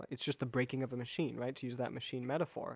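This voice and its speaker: In a plain, everyday voice, a man with an American accent speaks at a medium pitch. His intonation is fairly even, and the recording is very clean with a silent background. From US Midwest, Chicago area. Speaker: Chinese medicine practitioner, acupuncturist. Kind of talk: podcast interview.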